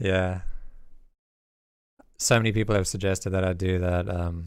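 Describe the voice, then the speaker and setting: With audible room echo around him, a man speaks in a very deep, low pitch and a monotone, flat intonation. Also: moderate pace. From South Africa. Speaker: music producer and YouTube teacher. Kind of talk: livestream track feedback.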